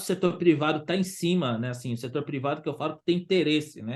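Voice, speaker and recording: A man's fairly high-pitched voice at a fairly quick pace, with ordinary pitch variation and a quiet background. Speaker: waste pickers' organization leader. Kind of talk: online forum discussion. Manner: halting, many repetitions; fast.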